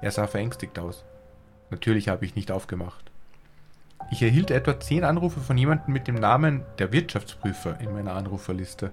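Music plays in the background as a man with a fairly low pitch talks at a fairly quick pace, his voice making very wide pitch swings. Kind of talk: ghost story reading aloud. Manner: hushed, tense first-person narration.

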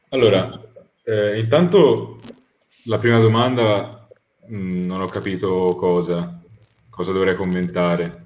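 A man with a very deep, low pitch speaks at a very slow pace, with long, frequent pauses and ordinary pitch variation. Audible room echo hangs around his voice. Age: young. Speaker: debate guest. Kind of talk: heated debate.

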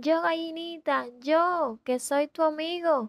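A woman's put-on character voice at an extremely high pitch, at a fairly slow pace. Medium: read story.

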